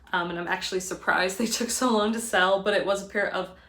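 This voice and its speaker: A woman talks at a fairly quick pace, with audible room echo around her. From Connecticut, US. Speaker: part-time reseller, video creator. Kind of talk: casual vlog talk. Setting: indoors at home, by a window. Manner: fast.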